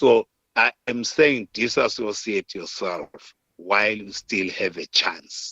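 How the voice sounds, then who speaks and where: The speaker has a Zimbabwean accent. Delivery is very slow, with ordinary pitch variation. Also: man, medium pitch for a man. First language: Shona. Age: 70s. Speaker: war veteran, political commentator. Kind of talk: interview, political commentary.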